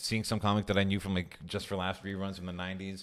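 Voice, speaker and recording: In a Montreal accent, a man speaks at a very fast pace with a very deep, low pitch. The recording is very clean, with a silent background. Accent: Montreal English (Canadian). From Montreal, Quebec. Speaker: stand-up comedian. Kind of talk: casual chat.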